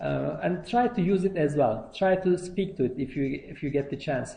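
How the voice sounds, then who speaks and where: Speaking fairly slowly in a room with audible echo, a man with a non-native accent has a high pitch, a dark, mellow tone and ordinary pitch variation. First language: not English. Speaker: university lecturer. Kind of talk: lecture. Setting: lecture hall. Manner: halting, many fillers.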